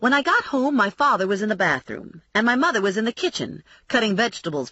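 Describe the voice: The recording captures plain reading aloud.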